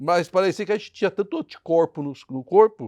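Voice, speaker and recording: A man's high-pitched voice with lively intonation at a moderate pace, dry and close with no echo, over a quiet background. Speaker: pastor. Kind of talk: sermon.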